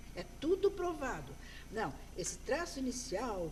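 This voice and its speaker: Noticeable background noise sits behind a woman who talks at a fairly slow pace with very wide pitch swings. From Brazil. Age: 60s. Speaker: graphologist. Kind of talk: interview.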